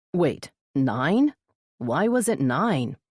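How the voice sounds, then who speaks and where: A woman's put-on character voice, very deep and low in pitch, with very wide pitch swings. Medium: read story. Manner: teasing, playful.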